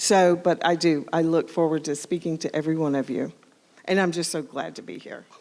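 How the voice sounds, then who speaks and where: In an American accent, a woman speaks at a fairly low pitch with fairly even intonation. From US Southwest, New Mexico. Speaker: streaming TV channel owner. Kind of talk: welcome remarks.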